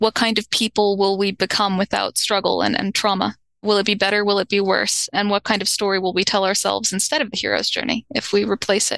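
A woman with an American accent speaks at a very fast pace with hardly any pauses, in a medium pitch with vocal fry, monotone flat intonation and very even loudness, the sound dry and close with no echo. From US Midwest. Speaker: AI artist. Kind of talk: interview.

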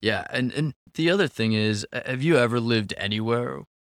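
The sound is dry and close with no echo on a very clean recording with a silent background, as a man with a Canadian accent uses an unremarkable speaking voice at a moderate pace with ordinary pitch variation. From Canada. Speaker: entrepreneur. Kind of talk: casual panel discussion.

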